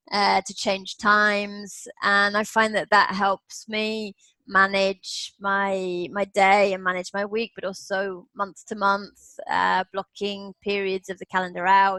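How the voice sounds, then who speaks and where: In an English Midlands accent, a woman speaks very slowly with a bright, sharp tone and monotone, flat intonation, the sound dry and close with no echo. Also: medium pitch for a woman. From Nottingham, England. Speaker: business English coach. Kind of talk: interview answer.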